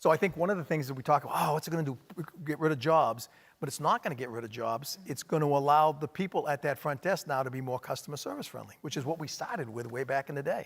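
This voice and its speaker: A man's fairly high voice at a very fast pace. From Maine. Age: middle-aged. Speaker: hospitality company executive. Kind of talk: onstage interview.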